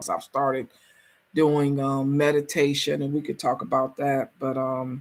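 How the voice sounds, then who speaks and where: At a moderate pace, a woman with an American accent speaks in a very deep, low voice with fairly even intonation. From US. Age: 60s. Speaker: travel coach vlogger. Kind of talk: casual vlog monologue. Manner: halting, many fillers.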